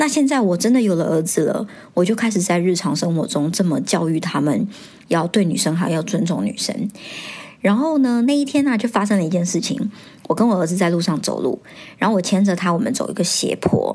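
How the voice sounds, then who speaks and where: With a plain, everyday voice, a woman speaks at a fairly quick pace and medium pitch using lively intonation. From Taiwan. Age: 30s. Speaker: podcast host. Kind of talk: casual monologue.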